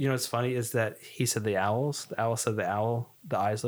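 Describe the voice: The text is read aloud plainly. Intonation stays fairly even.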